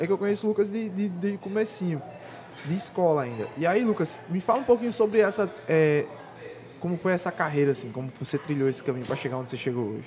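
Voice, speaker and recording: A man speaks very fast in a high voice, his pitch swinging very widely, with noticeable background noise behind him. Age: 20s. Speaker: podcast host. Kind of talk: casual interview. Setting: hotel.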